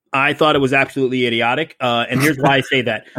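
A man with an American accent talks at a very fast pace, his pitch rising and falling in an ordinary way. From Ohio, US Midwest. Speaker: podcaster and Amazon seller. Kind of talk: casual chat.

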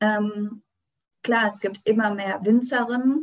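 Her intonation fairly even, a woman speaks at a very slow pace. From Germany, Rheinhessen. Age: 20s. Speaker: winemaker and regional wine queen. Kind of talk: interview.

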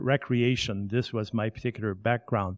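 Speaking with a French Canadian accent at a moderate pace, a man of medium pitch shows ordinary pitch variation in a very clean, dry, close recording with a silent background and no echo. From Quebec. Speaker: museum curator and tour guide. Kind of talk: interview. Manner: formal.

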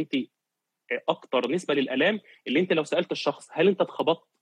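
A man speaks at a fairly quick pace with an unremarkable speaking voice. His pitch sits fairly high for a man, with ordinary pitch variation. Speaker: physiotherapist. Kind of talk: casual interview.

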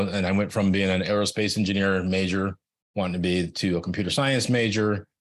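Against a quiet background, a man with an American accent and an unremarkable speaking voice talks at a moderate pace with a fairly low pitch. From US West Coast (California, Silicon Valley). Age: 50s. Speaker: IT manager and Navy veteran. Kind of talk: casual chat.

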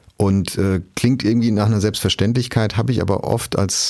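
A man with a dark, mellow tone talks at a moderate pace, keeping his intonation fairly even. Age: 40s. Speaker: media executive. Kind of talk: interview.

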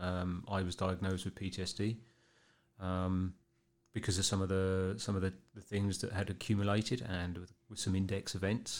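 With a southern English accent, the speaker talks at a moderate pace in monotone, flat intonation on a very clean recording with a silent background. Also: man, very deep, low pitch for a man. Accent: English, southern England. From Berkshire, England. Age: 50s. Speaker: police officer.

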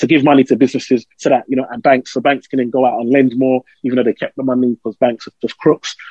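Very fast speech from a man at medium pitch, dark and mellow in tone, with a dry, close sound and no echo. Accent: East London. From East London, England. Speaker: financial adviser. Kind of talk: interview. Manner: animated.

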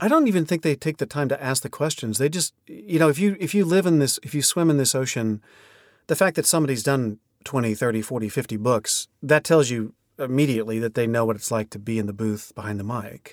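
On a very clean recording with a silent background and a dry, close sound with no echo, a man with an American accent speaks at medium pitch and a fairly quick pace with lively intonation. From Oklahoma. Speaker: audiobook narrator and coach. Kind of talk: interview.

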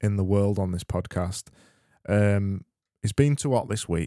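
Over a silent background in a very clean, dry, close recording with no echo, a man talks at a fairly slow pace in a fairly low pitch with a dark, mellow tone. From Yorkshire, England. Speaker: comedy podcast host. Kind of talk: casual comedic monologue.

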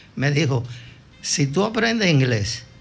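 Music in the background and audible room echo around a man at a fairly slow pace. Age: 80s+. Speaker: veteran broadcaster. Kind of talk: interview storytelling.

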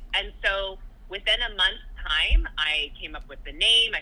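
A woman talks with a Californian accent. Her pace is moderate. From Southern California. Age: 30s. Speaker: podcast host. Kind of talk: casual chat.

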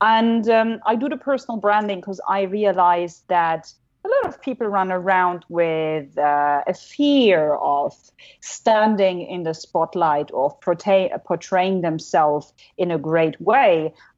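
Speaking in a German accent at a very slow pace, the voice carries lively intonation. Its loudness swings widely. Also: woman, medium pitch for a woman. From Germany. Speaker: keynote speaker. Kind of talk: casual chat. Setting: video call. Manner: animated.

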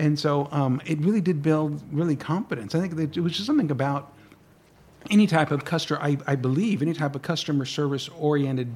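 Talking at a very fast pace, a man with an American accent uses a fairly high, somewhat breathy voice with ordinary pitch variation. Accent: Texan English, Mexican American. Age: 60s. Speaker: guest sharing family history. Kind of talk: radio interview. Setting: radio studio.

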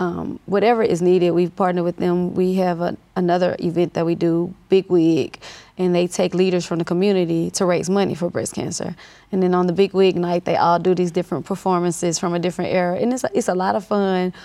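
A woman with a Southern US accent talks at a fairly quick pace, her fairly low voice dark and mellow with fairly even intonation. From US South, north Louisiana (Monroe). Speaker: nurse and clinic owner. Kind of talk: interview.

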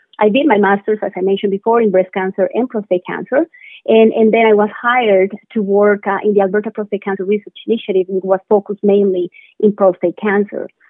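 A woman at a very fast pace, medium pitch, and fairly even intonation. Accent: Spanish. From Colombia. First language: Spanish. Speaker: biotech company co-founder. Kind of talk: interview. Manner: halting.

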